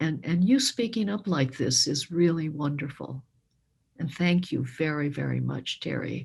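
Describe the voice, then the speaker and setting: Her pitch is very deep and low for a woman, and the woman's voice shows ordinary pitch variation. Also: moderate pace. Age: 70s. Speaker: public speaker on racism. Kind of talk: community discussion.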